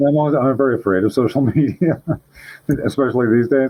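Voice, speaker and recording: A man speaks very fast with very even loudness. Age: 60s. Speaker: paranormal podcast guest, author. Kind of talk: casual chat.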